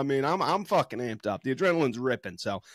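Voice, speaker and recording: Against a quiet background, a man talks very fast with very wide pitch swings. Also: dry sound with no echo. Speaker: podcast co-host. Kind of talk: casual sports commentary. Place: home room. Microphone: studio mic.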